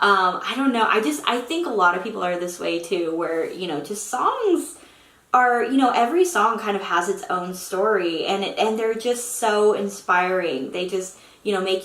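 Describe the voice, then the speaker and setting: In an American accent, a woman speaks at a medium pitch with lively intonation, audible room echo and noticeable background noise around her. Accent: Oklahoma accent, slight, slips out. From Oklahoma. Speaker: aspiring novelist and YouTuber. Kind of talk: casual vlog talk to camera.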